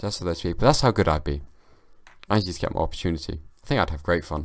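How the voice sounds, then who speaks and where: A man with a British accent speaks at a very fast pace. His pitch is very deep and low, and his intonation is lively. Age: young. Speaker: comedian and podcast host. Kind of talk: casual solo podcast monologue. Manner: slurring, halting with repetitions.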